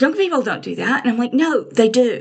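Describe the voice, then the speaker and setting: In a high voice, a woman talks with lively intonation. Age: 60s. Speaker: crafting vlogger. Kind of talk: casual chat. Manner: rambling, hesitant with many ums.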